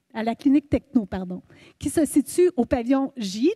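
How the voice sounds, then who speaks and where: A woman's high-pitched voice with a dark, mellow tone and ordinary pitch variation, at a moderate pace, dry and close with no echo in a very clean recording with a silent background. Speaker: university staff presenter. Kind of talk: orientation presentation. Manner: hesitant, many fillers.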